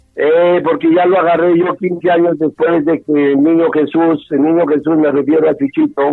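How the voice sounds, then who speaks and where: A man's high voice at a moderate pace, with fairly even intonation and hardly any pauses. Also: very even loudness. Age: 60s. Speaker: bullfighting manager and former novice bullfighter. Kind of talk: interview. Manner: halting.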